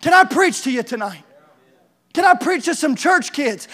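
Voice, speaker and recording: An extremely high-pitched male voice, raised and projected, animated, with lively intonation and a bright, sharp tone, on a very clean recording with a silent background. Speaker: preacher. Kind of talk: sermon. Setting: church with congregation. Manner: animated, fervent preaching with call-and-response; urgent, exhorting, rhythmic repetition.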